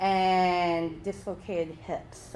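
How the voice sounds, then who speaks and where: This woman's voice sits fairly low in pitch. Audible room echo is present. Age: 20s. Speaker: workshop presenter. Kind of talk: workshop presentation.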